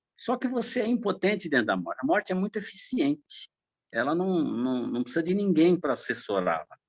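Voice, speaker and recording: A man with high pitch and very wide pitch swings is recorded with a dry, close sound that has no echo. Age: 60s. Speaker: church member, medical worker. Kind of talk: Sunday school class discussion.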